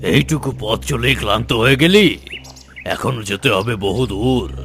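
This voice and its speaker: A cartoonish character voice swings very widely in pitch against clear background noise. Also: man, medium pitch for a man, moderate pace. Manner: curt, commanding.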